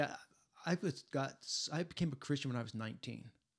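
A man talks at a moderate pace with lively intonation. He has an unremarkable speaking voice. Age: 60s. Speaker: podcast host. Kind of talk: casual interview.

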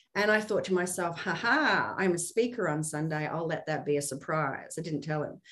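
Against noticeable background noise, the voice moves at a fairly quick pace with ordinary pitch variation. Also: woman. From UK, Middle East and Australia. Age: 40s. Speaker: former journalist, financial services agent. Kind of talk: casual interview.

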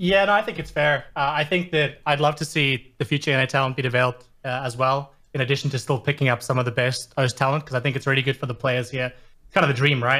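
A man with an Australian accent, medium pitch and a bright, sharp tone, at a very fast pace. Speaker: caller. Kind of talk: casual chat. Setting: online call.

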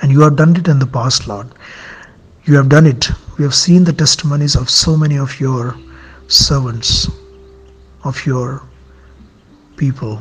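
The speech has long, frequent pauses. Noticeable background noise runs underneath. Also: moderate pace. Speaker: prayer leader. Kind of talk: fervent intercessory prayer addressed to God. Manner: earnest, pleading.

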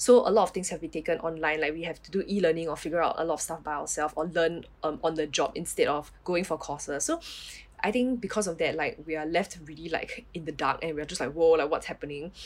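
A woman with a fairly low voice talks at a very fast pace, her pitch varying in an ordinary way. Her loudness swings widely. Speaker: nurse. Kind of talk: casual chat. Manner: casual with many fillers.

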